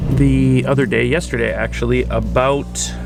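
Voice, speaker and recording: A man's fairly slow speech sits over music in the background. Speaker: photography youtuber. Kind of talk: casual vlog. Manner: hesitant, many fillers.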